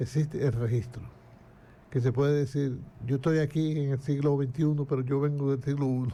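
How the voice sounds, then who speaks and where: A man with a fairly high pitch and a dark, mellow tone talks at a fairly quick pace, somewhat breathy, in monotone, flat intonation with very even loudness. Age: 80s+. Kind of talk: casual interview.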